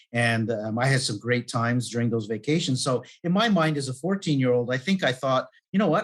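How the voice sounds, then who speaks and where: An ordinary speaking voice with a Canadian accent, lively intonation and a fairly quick pace. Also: man. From Canada. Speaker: life and business coach. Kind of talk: podcast interview.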